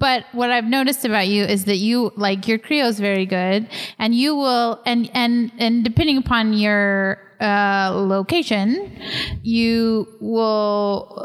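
A woman speaks in a normal speaking voice with an American accent, medium pitch, fairly even intonation and a fairly slow pace. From Texas. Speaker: podcast host, missionary pastor. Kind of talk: casual interview conversation. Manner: uses many filler words.

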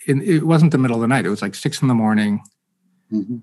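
A man with an American accent has an ordinary speaking voice and lively intonation. The recording is very clean, with a silent background. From Massachusetts, Boston area. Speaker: author and former ambassador. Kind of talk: casual chat.

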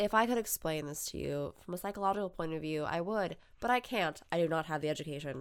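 A woman's fairly low voice at a very fast pace, with ordinary pitch variation. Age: 20s. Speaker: podcast co-host. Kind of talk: casual chat.

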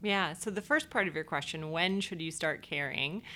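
With an American accent, a woman speaks at a fairly low pitch in a bright, sharp tone with ordinary pitch variation. The recording is very clean, the background silent. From Ohio, Cleveland area. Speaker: nonprofit executive director. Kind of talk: interview.

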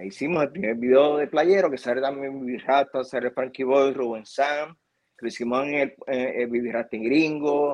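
In an ordinary speaking voice, a man with a fairly high pitch talks at a moderate pace with fairly even intonation and hardly any pauses. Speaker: TV video producer. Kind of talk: interview.

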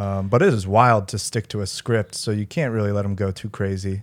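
A man's unremarkable speaking voice at a fairly quick pace, fairly even in intonation, on a very clean recording with a silent background. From US Northeast, Philadelphia. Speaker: comedian. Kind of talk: casual chat.

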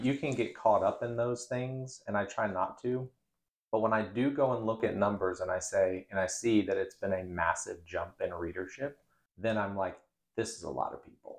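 With a plain, everyday voice, a man talks at a medium pitch and a moderate pace, using ordinary pitch variation. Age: 30s. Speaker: local news newsletter founder. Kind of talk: casual interview. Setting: in-person studio.

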